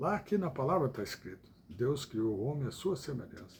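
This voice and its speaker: The recording is very clean with a silent background. A man speaks somewhat breathily, his pitch swinging very widely. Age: 70s. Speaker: evangelical preacher. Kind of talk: livestream sermon. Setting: live stream. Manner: halting.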